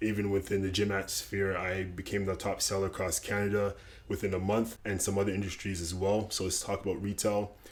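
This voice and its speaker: A man speaks with hardly any pauses in a fairly low, somewhat breathy voice. His intonation is monotone and flat. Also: fairly quick pace. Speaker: lifestyle YouTuber, former salesman. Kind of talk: casual vlog tutorial.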